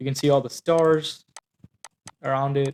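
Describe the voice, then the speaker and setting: A man with a non-native accent talks at a moderate pace and medium pitch. The sound is dry and close, with no echo. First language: not English. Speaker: company founder and engineer. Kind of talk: product demo. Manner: halting, many fillers.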